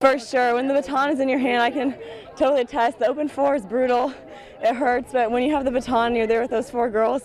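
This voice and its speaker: A woman speaks very fast at a high pitch in a monotone, flat intonation. The sound is dry with no echo, with crowd noise in the background. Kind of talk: interview answer. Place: stadium. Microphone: handheld.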